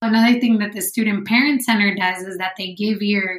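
Amid noticeable background noise, a woman with an American accent speaks at medium pitch with fairly even intonation. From San Diego–Tijuana border, California. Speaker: PhD student and mother. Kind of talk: interview.

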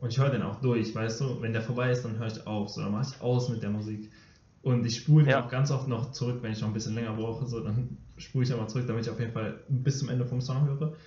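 Talking at a very fast pace, a man uses a somewhat breathy voice and fairly even intonation amid audible room echo. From Germany, Dortmund. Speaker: middle-distance runner, podcast co-host. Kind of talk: casual chat.

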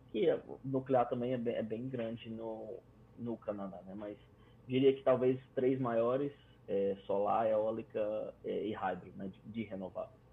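Fairly slow and medium in pitch, a man's ordinary speaking voice shows ordinary pitch variation and big swings in loudness. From Brazil, Fortaleza. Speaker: electrical engineer. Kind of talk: casual interview.

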